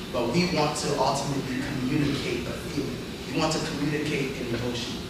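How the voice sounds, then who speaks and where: A man with ordinary pitch variation, audible room echo and loud background noise. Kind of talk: lecture. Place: classroom. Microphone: camera far.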